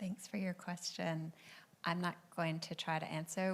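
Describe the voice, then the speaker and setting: With an American accent, a normal speaking voice moves at a moderate pace with fairly even intonation. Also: woman. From United States. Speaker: panel moderator. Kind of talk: panel moderation. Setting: event with audience.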